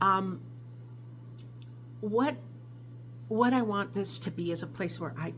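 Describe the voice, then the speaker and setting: A woman talks fairly slowly, and her voice carries audible room echo. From New York, Albany area. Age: 60s. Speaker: craft vlogger. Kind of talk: casual vlog introduction. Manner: hesitant, with many fillers.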